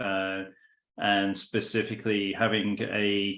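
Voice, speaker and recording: A man's fairly low voice with a British accent. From California. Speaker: business consultant. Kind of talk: business introduction in online meeting.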